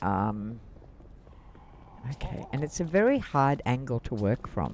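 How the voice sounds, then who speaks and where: A man with an Australian accent speaks very slowly, his intonation lively. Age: 70s. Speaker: gaming streamer. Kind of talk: casual live-stream gaming commentary.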